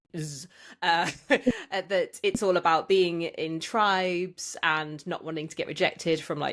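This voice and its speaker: A woman with a West Midlands accent, fairly low in pitch with ordinary pitch variation, at a fairly slow pace on a very clean recording with a silent background. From English Midlands (Tamworth). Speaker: podcast host. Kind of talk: casual interview.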